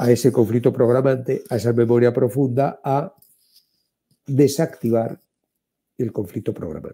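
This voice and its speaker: This man speaks with a Spanish accent, a dark, mellow tone and ordinary pitch variation. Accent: Spanish (Spain). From Spain. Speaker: therapist and author. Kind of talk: interview.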